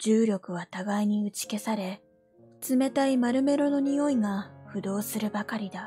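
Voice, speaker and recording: Music plays in the background as a woman with a fairly high pitch speaks at a fairly slow pace with ordinary pitch variation. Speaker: VTuber. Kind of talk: sleep story reading. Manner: soft-spoken, calm.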